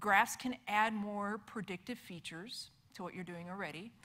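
A woman talks at a moderate pace in a bright, sharp tone. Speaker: conference presenter. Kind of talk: lecture. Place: hall.

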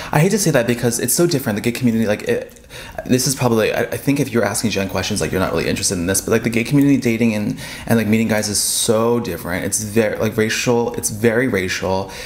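Very fast male speech at a medium pitch, with ordinary pitch variation. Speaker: friend of the vlogger. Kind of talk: casual chat. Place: home room. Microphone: camera far.

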